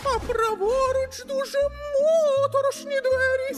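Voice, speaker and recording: A man puts on a character voice with an extremely high pitch. He talks at a moderate pace. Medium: fan dub.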